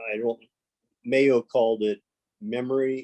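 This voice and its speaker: Dark and mellow in tone, a man talks at a fairly slow pace, the sound dry and close with no echo. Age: 60s. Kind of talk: casual chat. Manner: halting.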